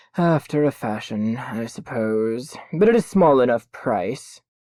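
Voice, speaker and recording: Quiet and at a fairly slow pace, a man does a put-on character voice on a very clean recording with a silent background. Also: medium pitch for a man. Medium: read story. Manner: calm, reasonable.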